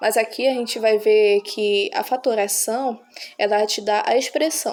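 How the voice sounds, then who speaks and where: A woman's voice with fairly even intonation amid noticeable background noise. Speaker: math teacher. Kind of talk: tutorial.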